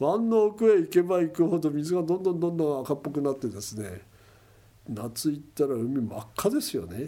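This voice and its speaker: This man's fairly high voice has a dark, mellow tone and very wide pitch swings, delivered at a moderate pace. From Kesennuma, Miyagi (Tohoku, Japan). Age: 70s. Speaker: oyster fisherman and environmental NPO head. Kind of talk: interview.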